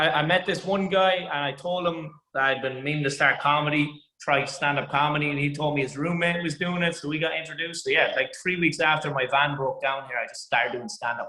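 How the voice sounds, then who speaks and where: A fairly high-pitched man with an Irish accent talks at a fairly quick pace, with hardly any pauses. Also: fairly even intonation. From Ireland. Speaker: stand-up comedian. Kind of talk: interview.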